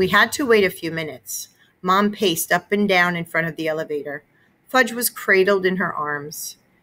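With ordinary pitch variation, the speaker is reading aloud in a natural voice.

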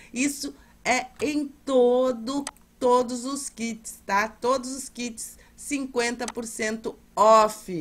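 The woman's voice sounds somewhat breathy. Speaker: seller. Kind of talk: sales pitch. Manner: repeats urgent calls to act.

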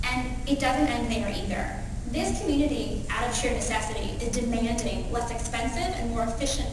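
Someone speaks at a fairly quick pace amid strong room echo and noticeable background noise. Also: woman. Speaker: keynote speaker. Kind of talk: conference keynote. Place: hall.

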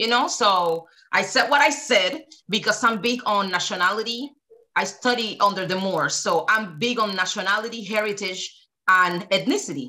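A woman with a Spanish accent, passionate and bright, sharp in tone, lively in intonation, at a moderate pace against a quiet background. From Cuba. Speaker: activist; podcast guest. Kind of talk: casual discussion. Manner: passionate, emphatic. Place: home room.

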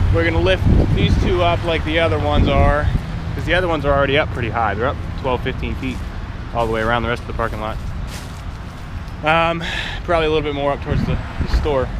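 A man talking at a very fast pace, dry with no echo, with noticeable background noise. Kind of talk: casual vlog chat. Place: street. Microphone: phone near.

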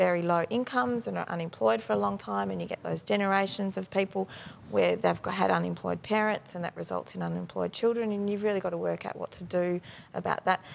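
Over light background noise, a woman speaks at a very fast pace. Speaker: politician guest. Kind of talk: interview answer. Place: studio. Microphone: lapel.

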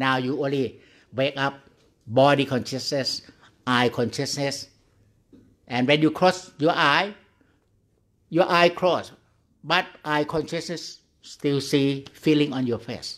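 Over a quiet background, a man speaks at a very slow pace in a fairly high pitch. His pitch variation is ordinary, and he leaves long, frequent pauses. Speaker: Buddhist monk meditation teacher. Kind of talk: guided meditation. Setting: online video call. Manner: slow, calm, gently instructing with pauses; simple, repetitive, halting English. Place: hall. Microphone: studio mic.

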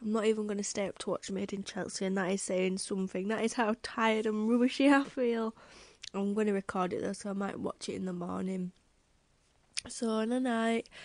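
Speaking quietly and at a fairly quick pace, a woman with a British accent has a fairly high pitch, recorded with a dry, close sound and no echo. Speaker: vlogger. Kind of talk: casual vlog.

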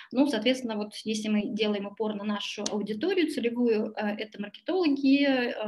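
A woman's normal speaking voice at a fairly high pitch, ordinary pitch variation and a moderate pace. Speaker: tax consultancy director. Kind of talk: webinar presentation. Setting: video call. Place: home room. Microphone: webcam.

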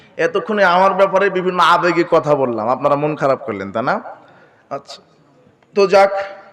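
Lively in intonation and high in pitch, a man talks over noticeable background noise. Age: 20s. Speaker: Islamic preacher. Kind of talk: sermon.

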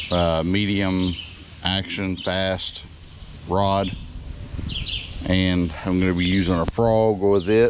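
Over faint background noise, a man with a low pitch speaks slowly, with fairly even intonation.

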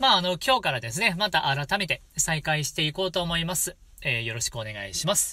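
A bright, sharp tone with very wide pitch swings at a fairly quick pace, on a very clean recording with a silent background. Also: man, high pitch for a man. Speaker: shigin (Japanese poetry chanting) channel host. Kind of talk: casual solo talk to viewers.

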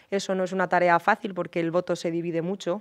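Against a quiet background, a woman speaks at a fairly low pitch in a monotone, flat intonation. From Spain, Cuenca (Castilla-La Mancha); Castilla-La Mancha. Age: 30s. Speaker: politician. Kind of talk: interview. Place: studio. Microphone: studio mic.

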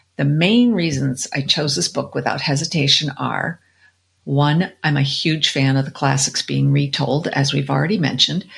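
This woman's voice is very deep and low, with vocal fry. She speaks at a moderate pace with ordinary pitch variation. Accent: American. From Colorado. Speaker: book podcast co-host. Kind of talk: casual chat about book picks.

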